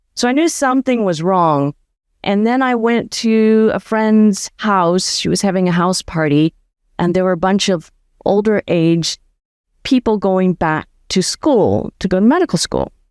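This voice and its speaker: The woman has an unremarkable speaking voice at medium pitch, talking at a fairly slow pace with very even loudness, in a very clean recording with a silent background and a dry, close sound with no echo. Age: 60s. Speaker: former veterinarian turned nomad and community founder. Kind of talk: interview conversation.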